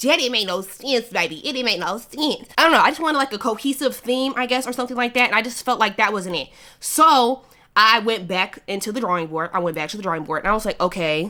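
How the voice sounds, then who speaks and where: Loud and very fast, a woman talks with lively intonation, a fairly high pitch and a bright, sharp tone. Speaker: YouTube vlogger. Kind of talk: casual chat.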